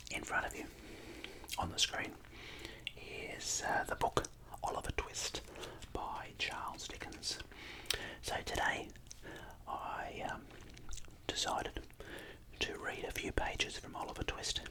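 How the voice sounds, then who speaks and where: A man whispers at a fairly slow pace with long, frequent pauses over noticeable background noise. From Australia. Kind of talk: casual talk to camera. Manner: whispered.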